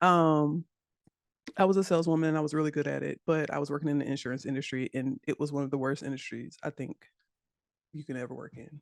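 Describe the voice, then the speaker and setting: In an American accent, a woman with a very deep, low pitch talks at a very fast pace with fairly even intonation, the sound dry and close with no echo over a quiet background. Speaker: web developer and instructor. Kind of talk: interview chat.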